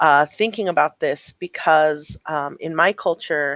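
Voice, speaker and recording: A woman with an American accent speaks at a very deep, low pitch, the sound dry and close with no echo. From Tohono O'odham Nation, Pima County, Arizona. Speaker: political candidate. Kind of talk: casual panel conversation. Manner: loud.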